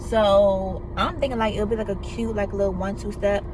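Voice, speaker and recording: A woman is speaking. Noticeable background noise and audible room echo are present. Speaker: YouTuber. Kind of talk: casual vlog monologue while eating. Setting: in a car. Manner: animated.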